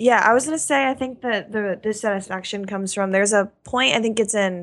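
A woman speaks at a medium pitch and a moderate pace. She uses an ordinary speaking voice on a very clean recording with a silent background. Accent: American. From Oklahoma. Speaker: managing editor. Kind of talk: podcast discussion.

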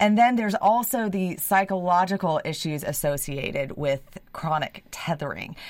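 Lively in intonation, a woman talks at a moderate pace with hardly any pauses. She has a plain, everyday voice at a medium pitch. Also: very clean recording, silent background. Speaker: animal welfare advocate. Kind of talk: radio interview. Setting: studio.

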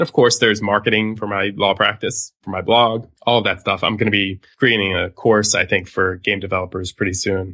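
A man's normal speaking voice, fairly low in pitch, at a fairly quick pace with fairly even intonation and hardly any pauses. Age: 30s. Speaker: lawyer and podcaster. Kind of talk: casual interview. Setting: Skype call.

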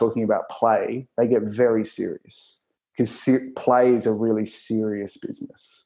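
With an Australian accent, a man talks at a moderate pace in a dark, mellow tone. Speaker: performer turned workplace consultant. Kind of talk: interview conversation.

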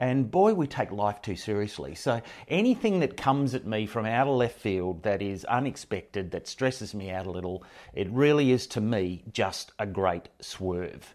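An Australian-accented man speaks at a moderate pace and a fairly low pitch with lively intonation. The recording is very clean, with a silent background. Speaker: professional speaker. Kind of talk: interview. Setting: face-to-face studio recording.

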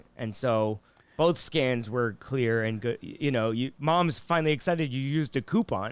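Here is a man with a plain, everyday voice at medium pitch and ordinary pitch variation. He moves at a moderate pace in a very clean recording with a silent background. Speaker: comedian. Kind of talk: casual chat.

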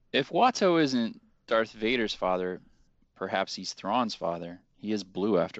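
A plain, everyday voice from a man, fairly low in pitch, with lively intonation and a fairly slow pace.

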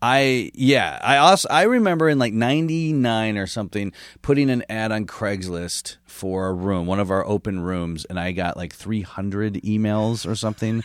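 A man with an American accent and an ordinary speaking voice talks at a moderate pace with hardly any pauses, his pitch fairly low and his intonation lively. The recording is very clean, with a silent background. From Michigan, US Midwest. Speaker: comedian. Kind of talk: casual chat.

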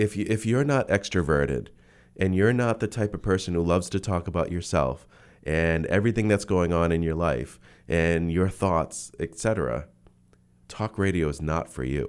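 This very clean recording has a silent background. A man with a very deep, low pitch speaks at a moderate pace with lively intonation. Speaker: community media station manager. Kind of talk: radio interview. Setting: studio.

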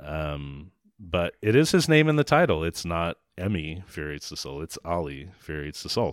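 A man speaks with a very deep, low pitch, ordinary pitch variation and big swings in loudness at a moderate pace with hardly any pauses. The recording is very clean and dry, close with no echo, over a silent background. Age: 40s. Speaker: film critic podcast host. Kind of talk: casual chat.

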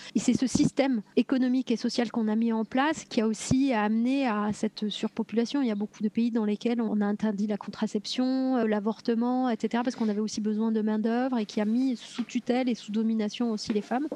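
A woman speaks at a fairly quick clip with hardly any pauses, her fairly high voice flat and monotone in a dry, close recording with no echo. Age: 40s. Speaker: mother sharing birth story, entrepreneur. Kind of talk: testimony.

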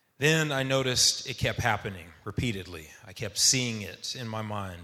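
A man with an American accent speaks at a fairly low pitch and moderate pace, his tone bright and sharp. His pitch variation is ordinary, and room echo is audible. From Texas, Dallas suburbs. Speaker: navy veteran. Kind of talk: storytelling. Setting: stage with audience.

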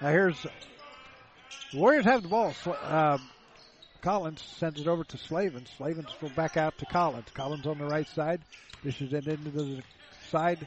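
A fairly high-pitched man speaks at a moderate pace with ordinary pitch variation. Long, frequent pauses break up his speech over noticeable background noise. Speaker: play-by-play announcer. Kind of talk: live sports commentary. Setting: gym courtside broadcast.

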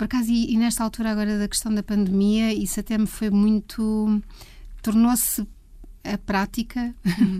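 At a moderate pace, a woman speaks in a somewhat breathy, dark, mellow tone at a fairly high pitch, her intonation monotone and flat, with long, frequent pauses. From Portugal, Leiria. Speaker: music photographer. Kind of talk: interview conversation.

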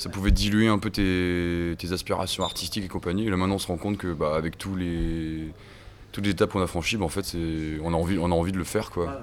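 A man with a very deep, low voice talks very fast with fairly even intonation. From Brittany, Côtes d'Armor (near Paimpol). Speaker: rock musician. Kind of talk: interview. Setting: music festival. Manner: casual, hesitant.

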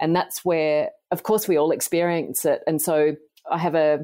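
In an Australian accent, a woman speaks at a moderate pace with a very deep, low pitch and monotone, flat intonation, captured in a very clean recording with a silent background. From Australia, country New South Wales. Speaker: nutritional biochemist and author. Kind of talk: podcast interview.

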